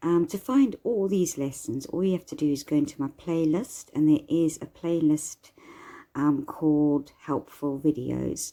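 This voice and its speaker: Soft-spoken, a woman talks at a fairly slow pace with a very deep, low pitch and a dark, mellow tone. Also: ordinary pitch variation. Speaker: psychic medium and tarot teacher. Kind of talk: tutorial.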